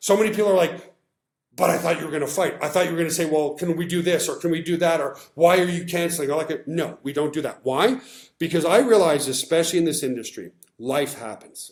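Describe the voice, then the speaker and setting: A man speaks at a high pitch in an animated tone, with ordinary pitch variation. His pace is very fast. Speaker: business presenter. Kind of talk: live webinar sales pitch. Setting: livestream.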